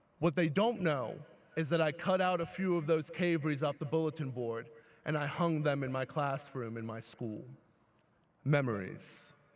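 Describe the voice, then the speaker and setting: In a New York accent, a man talks at a moderate pace with a fairly high pitch and ordinary pitch variation. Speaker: teacher and graduation speaker. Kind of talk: commencement speech. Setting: graduation ceremony with audience. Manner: animated.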